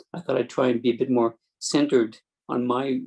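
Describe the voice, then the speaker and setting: Very fast speech from a man, medium in pitch, with flat, monotone intonation. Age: 60s. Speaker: spinal cord injury advocate. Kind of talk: webinar panel talk. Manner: halting, many fillers and restarts.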